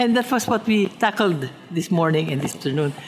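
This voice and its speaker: With a Filipino accent, a woman talks at a fairly quick pace with very wide pitch swings over noticeable background noise. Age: 70s. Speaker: pianist. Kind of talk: interview.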